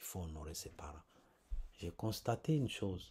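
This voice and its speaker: A man's voice is somewhat breathy, with a dark, mellow tone. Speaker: preacher. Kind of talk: sermon. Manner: slow.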